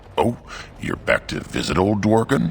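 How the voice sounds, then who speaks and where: A man's put-on character voice at a fairly low pitch and moderate pace, with clear background noise. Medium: video game. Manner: enthusiastic, folksy.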